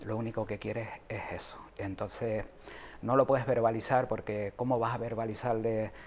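Over light background noise, a man talks at a fairly slow pace. His pitch is fairly low and his intonation fairly even. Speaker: mental health advocate. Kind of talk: interview. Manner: halting. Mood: earnest, concerned. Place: studio. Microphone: lapel.

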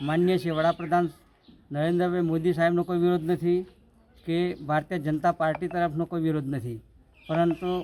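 A high-pitched male voice with a dark, mellow tone and monotone, flat intonation. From Gujarat, India (Aravalli district village). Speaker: villager protesting. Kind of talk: news interview statement. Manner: halting, with frequent pauses.

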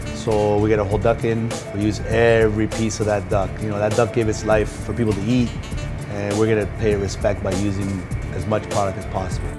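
Clear music plays behind a man talking at a very fast pace. His pitch varies in an ordinary way. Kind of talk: interview answer. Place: bar.

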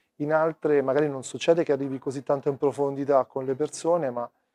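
Speech comes at a fairly quick pace in a dark, mellow tone, monotone and flat, with a dry, echo-free sound over a quiet background. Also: man. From Rome, Italy; Italy. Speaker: documentary photographer. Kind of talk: interview. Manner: halting. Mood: calm, reflective. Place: hall. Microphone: lapel.

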